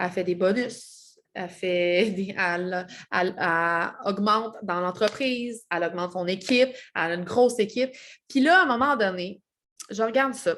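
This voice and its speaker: A woman keeps a moderate pace, recorded very cleanly against a silent background. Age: 30s. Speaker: network marketing seller. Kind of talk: vlog self-introduction. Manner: hesitant, many fillers.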